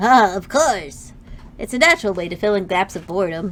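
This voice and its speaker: A female-sounding voice does a put-on character voice at a middle pitch. The pace is fairly quick. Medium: virtual streamer. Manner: hesitant, awkward.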